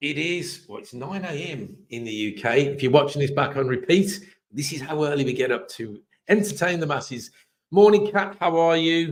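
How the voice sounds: A man speaks in a hoarse voice, fairly high in pitch. His intonation is lively and his pace moderate.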